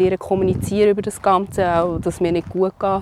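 Her pitch is medium for a woman, and her intonation is monotone and flat. She talks at a very fast pace over noticeable background noise. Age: 30s. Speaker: cancer patient and mother. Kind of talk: personal testimony interview. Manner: hesitant with fillers.

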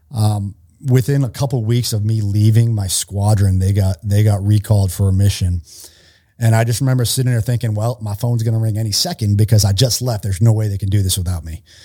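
A man with an American accent, fairly low in pitch, dark and mellow in tone, somewhat breathy, with fairly even intonation at a very fast pace. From Massachusetts (Worcester). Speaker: retired Navy SEAL, nonprofit founder training police. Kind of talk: podcast interview. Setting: studio.

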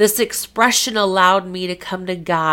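An unforced voice reading aloud, intonation mostly level

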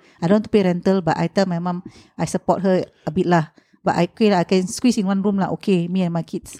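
A woman's very fast, flat monotone speech at a medium pitch in a Singaporean accent, dark and mellow in tone, with a dry, close sound, no echo, and a very clean recording with a silent background. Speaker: property podcast co-host. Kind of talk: casual chat.

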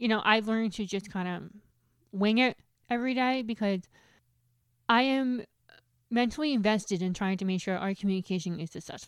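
A woman with an American accent at a fairly high pitch, ordinary pitch variation, a fairly quick pace and long, frequent pauses, on a very clean recording with a silent background. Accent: New Jersey American, deaf speech. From New Jersey, US. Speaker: guest, HR professional, deaf. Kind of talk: casual interview. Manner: fast talker.

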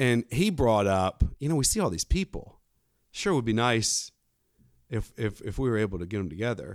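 This man, with an Alabama accent, talks at a medium pitch on a very clean recording with a silent background. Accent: Southern US (Alabama). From US South, coastal Alabama. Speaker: businessman, parishioner. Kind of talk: casual interview. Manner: halting, many fillers.

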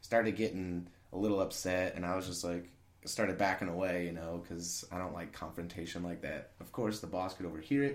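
A man with a very deep, low voice talks at a fairly quick pace in a room with audible echo. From central Illinois (small town). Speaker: restaurant server. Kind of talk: interview. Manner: boisterous, laughs often; talkative.

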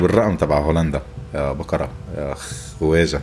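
Noticeable background noise sits under a man's voice. He speaks with a Lebanese accent and ordinary pitch variation. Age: 40s. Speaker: podcast host. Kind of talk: improvised monologue. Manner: animated.

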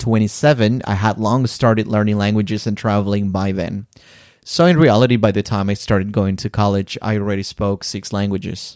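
Speaking with a Spanish accent, a man keeps a fairly low pitch and fairly even intonation at a fairly quick pace. The recording is very clean, with a silent background. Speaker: podcast host, language teacher. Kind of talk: scripted narration.

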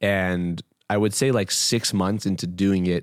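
A man with a Canadian accent speaks at a very deep, low pitch. The sound is dry and close, with no echo. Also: very clean recording, silent background. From Toronto, Canada. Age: 20s. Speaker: entrepreneur. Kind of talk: interview.

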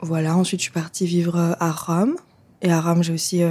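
A woman speaks with a fairly low pitch and a dark, mellow tone. Her intonation stays monotone and flat. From Switzerland, Lausanne. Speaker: feminist activist. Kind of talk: interview. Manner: hesitant, many fillers.

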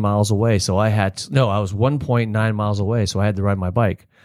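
With an American accent, a man speaks in a normal speaking voice. His pitch is fairly low, his pace fairly quick, and his intonation fairly even. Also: hardly any pauses. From Florida (Palm Harbor, Tampa Bay area). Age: 50s. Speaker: local business owner. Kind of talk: casual interview.

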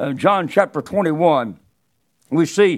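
On a very clean recording with a silent background, a man speaks with a Southern US accent and lively intonation. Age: 70s. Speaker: preacher. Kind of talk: sermon. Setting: church. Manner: halting.

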